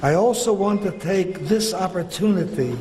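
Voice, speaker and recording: The speech moves at a very slow pace with ordinary pitch variation. Audible room echo and noticeable background noise are present. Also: man. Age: 90s. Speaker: retired rabbi and school principal. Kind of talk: formal speech. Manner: formal.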